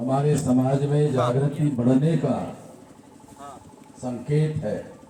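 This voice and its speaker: Background noise is noticeable and the room echo is audible. Through it, a man speaks at a fairly high pitch with monotone, flat intonation. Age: 60s. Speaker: national president of a political-social organisation. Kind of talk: political rally speech.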